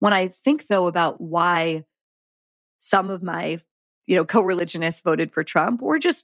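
A woman with an American accent speaks at a fairly low pitch with lively intonation. The recording is very clean, with a silent background and a dry, close sound with no echo. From Pittsburgh, US. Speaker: journalist. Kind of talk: casual interview.

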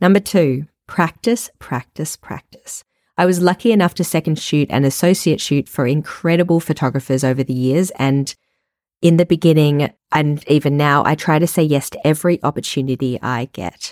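With an Australian accent, a woman talks at a moderate pace in a very deep, low pitch with ordinary pitch variation, recorded very cleanly against a silent background, dry and close with no echo. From Australia, Melbourne. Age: 30s. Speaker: wedding photographer and podcast host. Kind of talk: solo podcast monologue.

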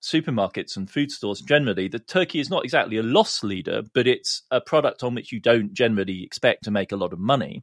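In an English accent, the speaker rushes along very fast with lively intonation and hardly any pauses, in a dry, close sound with no echo. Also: man. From England. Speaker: economics columnist, professor. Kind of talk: casual chat. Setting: remote recording, in London.

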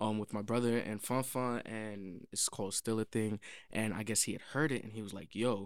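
On a very clean recording with a silent background, a man speaks in a New York accent at a fairly low pitch with fairly even intonation. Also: moderate pace. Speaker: songwriter and producer. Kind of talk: casual interview.

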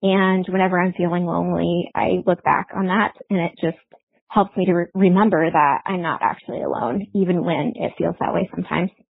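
This woman has an ordinary speaking voice with an American accent and a fairly low pitch. She talks at a fairly quick pace with fairly even intonation. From Iowa. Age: 40s. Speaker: caller. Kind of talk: testimony. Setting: phone voicemail.

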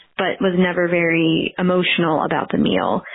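Noticeable background noise sits behind a woman's fairly low voice, carrying an American accent. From Pennsylvania, Philadelphia area. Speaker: parent caller. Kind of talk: recorded listener question.

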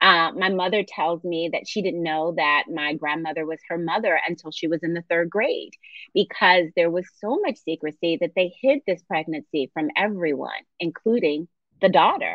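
A woman with an American accent, a plain, everyday voice, ordinary pitch variation and a moderate pace. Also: fairly low pitch for a woman. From Philadelphia. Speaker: novelist. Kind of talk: casual chat.

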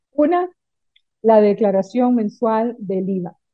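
This is a plain, everyday voice. It moves at a fairly slow pace with ordinary pitch variation. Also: woman. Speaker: accountant. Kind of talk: tutorial; casual chat.

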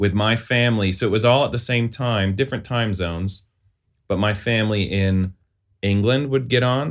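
A man with an American accent has an ordinary speaking voice, fairly low in pitch, at a moderate pace with ordinary pitch variation and very even loudness on a very clean recording with a silent background. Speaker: former police officer. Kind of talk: interview.

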